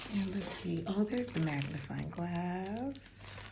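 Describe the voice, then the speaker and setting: A woman is heard over noticeable background noise. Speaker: subscription box reviewer. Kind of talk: casual unboxing talk to camera.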